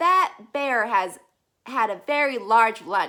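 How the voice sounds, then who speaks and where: A woman puts on a character voice at a fairly high pitch. She speaks at a very slow pace. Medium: read story. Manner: dry, matter-of-fact.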